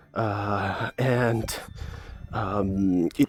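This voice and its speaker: A fairly low-pitched man talks while noticeable background noise is heard. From Italy. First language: Italian. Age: 30s. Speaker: podcast host, holistic wellness coach. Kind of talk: personal testimony podcast. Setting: walking outdoors. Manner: halting, with many fillers.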